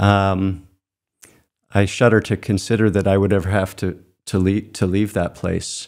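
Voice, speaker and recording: A man speaks at a fairly slow pace in a fairly low pitch. His intonation stays monotone and flat against a quiet background. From Maine, Cape Elizabeth; Maine. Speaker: landscape painter; guest. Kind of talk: interview. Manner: halting, many fillers and repeats. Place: studio. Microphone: studio mic.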